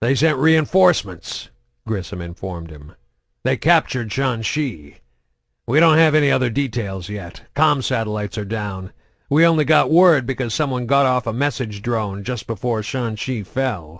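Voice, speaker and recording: In a put-on character voice, a man speaks gruffly at a medium pitch and moderate pace, swinging very widely in pitch, on a very clean recording with a silent background. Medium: read story. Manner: gruff, stern.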